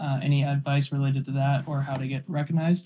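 Somewhat breathy speech at a fairly quick pace. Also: man. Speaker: event moderator. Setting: online voice call.

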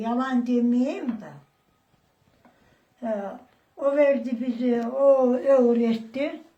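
Her pitch is high, yet the woman's tone is dark and mellow. She speaks at a very slow pace. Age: 80s+. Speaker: retired farmer. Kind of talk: interview answer.

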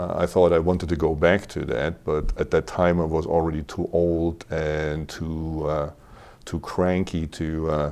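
In a very deep, low pitch, a man speaks fairly slowly with a monotone, flat delivery. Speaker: interview guest. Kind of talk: interview answer. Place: studio. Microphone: lapel.

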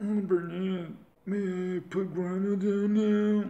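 This put-on character voice sounds robotic, with a middle pitch and monotone, flat intonation. It moves at a very slow pace with an audible echo.

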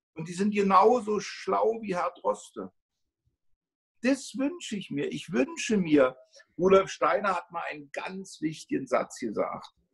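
Against a quiet background, a man speaks fairly slowly with big swings in loudness. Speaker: homeopathy teacher and school co-founder; homeopathy teacher. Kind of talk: interview. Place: home room. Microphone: phone near.

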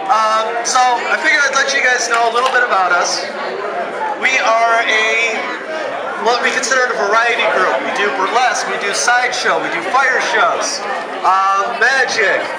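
A man at a moderate pace with long, frequent pauses amid crowd noise in the background. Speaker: performer hosting a fire show. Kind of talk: stage patter to audience. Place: open country. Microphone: headset.

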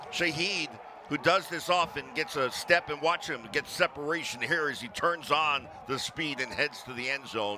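Fairly high male voice amid noticeable background noise. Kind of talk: live sports commentary, color analyst. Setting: broadcast booth at game.

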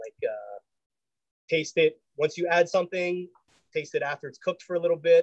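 A man speaks at a moderate pace against a quiet background, in dry sound with no echo. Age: 40s. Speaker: chef; home cook host. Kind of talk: cooking demonstration; cooking tutorial chat. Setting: video call. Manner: casual, halting. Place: kitchen. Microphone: phone mic with audio problems; video call.

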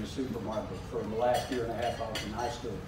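With ordinary pitch variation, a man speaks amid audible room echo and noticeable background noise. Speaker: guest. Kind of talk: public talk. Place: hall. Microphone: handheld.

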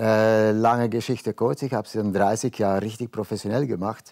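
Against a quiet background, a man talks at a fairly low pitch. His intonation is fairly even. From Belgium. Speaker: painter, former model; guest. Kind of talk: casual talk show interview. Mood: relaxed, reflective. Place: studio. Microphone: lapel.

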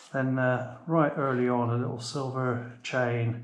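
Amid audible room echo, a man talks at a fairly slow pace with monotone, flat intonation. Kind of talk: casual vlog chat. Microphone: phone near.

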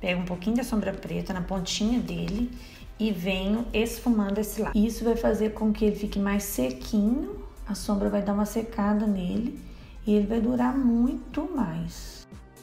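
With music in the background, a woman at medium pitch talks at a moderate pace with ordinary pitch variation. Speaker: beauty vlogger. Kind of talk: makeup tutorial talk to camera.

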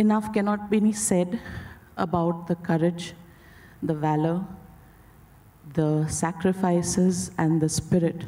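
Speaking at a fairly slow pace, a woman with a fairly low voice keeps her intonation fairly even. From India. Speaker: filmmaker's daughter introducing her father. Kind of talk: formal speech. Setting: stage with audience. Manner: hesitant with fillers. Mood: solemn, respectful. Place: stage. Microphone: handheld.

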